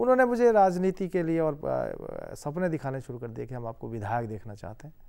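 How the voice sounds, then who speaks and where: In a dark, mellow tone and a fairly high pitch, a man speaks at a moderate pace against a quiet background. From Himachal Pradesh, India. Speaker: member of parliament; politician guest. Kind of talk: interview. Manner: formal. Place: studio. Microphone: lapel.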